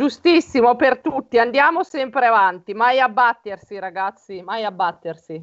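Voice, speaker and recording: A woman's ordinary speaking voice, fairly high in pitch, with lively intonation, a moderate pace and hardly any pauses. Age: 40s. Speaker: writer and naturopath. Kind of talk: personal testimony.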